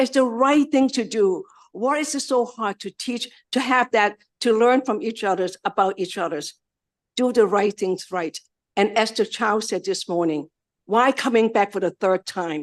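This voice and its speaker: With lively intonation and a fairly high pitch, a woman speaks at a moderate pace against a quiet background. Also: dry, close sound with no echo. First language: not English. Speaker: community organization director. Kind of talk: testimony. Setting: legislative committee hearing. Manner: halting.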